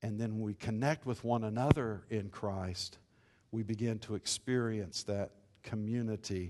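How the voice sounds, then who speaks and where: Against a quiet background, a man with a plain, everyday voice talks at a fairly slow pace, his fairly low pitch carrying fairly even intonation. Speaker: pastor. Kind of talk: sermon.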